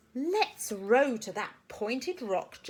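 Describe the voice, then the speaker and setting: A woman puts on a character voice with a high pitch for a woman. Her pitch swings very widely. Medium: read story.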